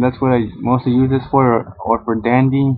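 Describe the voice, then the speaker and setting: Using monotone, flat intonation, a man speaks at a moderate pace. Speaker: card game YouTuber. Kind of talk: tutorial. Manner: stuttering.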